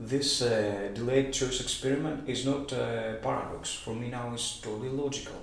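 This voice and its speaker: A man's medium pitch with fairly even intonation, noticeable background noise and audible room echo. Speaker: amateur physics enthusiast. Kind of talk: explainer monologue. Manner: halting, many fillers.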